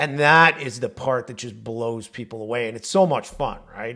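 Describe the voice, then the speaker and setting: This man talks at a fairly quick pace on a very clean recording with a silent background. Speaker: AI consultant and trainer. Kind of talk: tutorial. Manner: fast.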